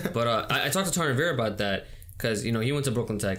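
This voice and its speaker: In an American accent, a man speaks at medium pitch with ordinary pitch variation and audible room echo. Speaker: podcast host. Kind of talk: casual chat.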